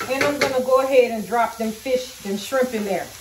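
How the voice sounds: At a fairly quick pace, a woman talks at a fairly high pitch with ordinary pitch variation, and audible room echo can be heard.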